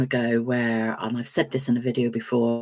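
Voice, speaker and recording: This woman has an English accent. Her pitch is very deep and low. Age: 60s. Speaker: vlogger. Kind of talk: casual chat. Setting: live stream. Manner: hesitant, many fillers.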